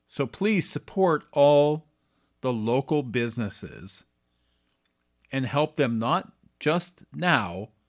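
With a Canadian accent and lively intonation, a man speaks at a fairly high pitch in a dry, close sound with no echo, on a very clean recording with a silent background. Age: 50s. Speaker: podcast host. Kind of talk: solo monologue podcast.

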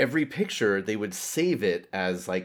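A man with a fairly low pitch speaks at a moderate pace with lively intonation, in a very clean recording with a silent background. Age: 40s. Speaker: podcast guest, host's best friend. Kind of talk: casual chat.

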